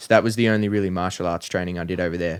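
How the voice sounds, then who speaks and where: With an Australian accent, a man with a very deep, low pitch talks at a very fast pace using fairly even intonation. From Australia, country Victoria (Bacchus Marsh). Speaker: professional MMA fighter. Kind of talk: casual chat.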